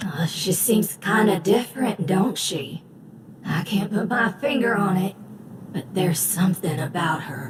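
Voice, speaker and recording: A put-on character voice drawls at a middle pitch and a moderate pace. Clear background noise and a slight echo are present. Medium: video game. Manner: drawling rustic dialect.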